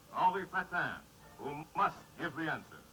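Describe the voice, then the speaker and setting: Over music in the background, a man speaks at a high pitch with fairly even intonation. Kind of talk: vintage newsreel narration. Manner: dramatic, solemn.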